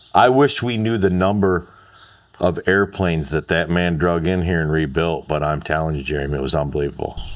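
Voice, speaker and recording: Very deep, low male voice with an Upper Midwest accent, a fairly quick pace and ordinary pitch variation. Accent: Upper Midwest American. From Michigan, US Midwest. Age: 50s. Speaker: interviewee, childhood airport regular. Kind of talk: casual interview.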